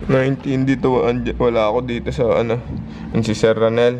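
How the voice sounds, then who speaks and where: There is noticeable background noise and audible room echo around a man speaking at a moderate pace. His pitch is medium and his intonation fairly even. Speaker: fitness vlogger. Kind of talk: casual vlog. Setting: gym. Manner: low energy.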